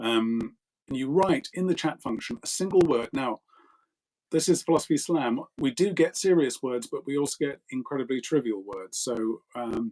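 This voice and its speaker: In an ordinary speaking voice, a man talks with lively intonation and a fairly high pitch, the sound dry and close with no echo. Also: moderate pace. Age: 50s. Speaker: philosophy discussion host. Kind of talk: casual chat. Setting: live online video stream.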